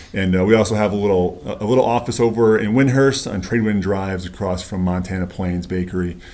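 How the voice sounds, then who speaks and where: Speaking very fast with an American accent, a man has a dark, mellow tone. Audible room echo surrounds his voice. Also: fairly low pitch for a man, hardly any pauses. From upstate New York, rural. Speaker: locksmith and security business owner. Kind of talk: casual interview. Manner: halting, many fillers.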